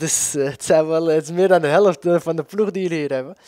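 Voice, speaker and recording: This man's dark, mellow tone comes through in a dry sound with no echo. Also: quiet background. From Amsterdam, Netherlands; Netherlands. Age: 20s. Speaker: footballer. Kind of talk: interview. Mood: relaxed, friendly, smiling. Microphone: handheld.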